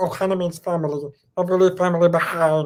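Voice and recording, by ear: A put-on character voice runs at a very fast pace with a middle pitch. The intonation stays monotone and flat.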